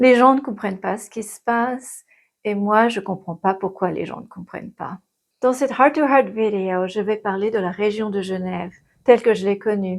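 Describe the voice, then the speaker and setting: At a moderate pace and medium pitch, a woman speaks with big swings in loudness. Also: ordinary pitch variation. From Geneva area, French side of the border. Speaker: physicist and video creator. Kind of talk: personal vlog monologue.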